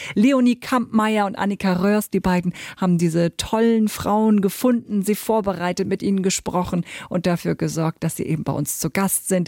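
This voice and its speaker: Her dark, mellow tone sits at a medium pitch with ordinary pitch variation, recorded dry and close with no echo on a very clean, silent background. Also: moderate pace. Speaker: podcast host. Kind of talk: scripted outro; interview.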